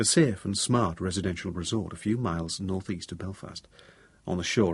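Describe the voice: Ordinary pitch variation in plain reading aloud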